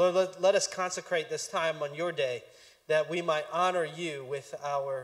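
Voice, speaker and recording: The background stays quiet as a man speaks at a moderate pace. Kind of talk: announcements then prayer. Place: church. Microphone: handheld.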